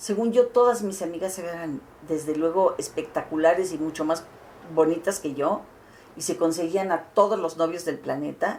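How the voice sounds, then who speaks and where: A woman is speaking. She takes a fairly slow pace. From Mexico City, Mexico. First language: Catalan (speaking Spanish). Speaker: interviewee, cultural figure. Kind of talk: interview testimony. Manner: halting.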